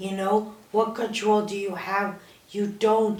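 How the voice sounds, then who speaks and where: Music plays in the background as a woman speaks slowly with monotone, flat intonation, and room echo is audible. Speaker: cancer survivor podcast host. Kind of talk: casual chat. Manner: soft-spoken.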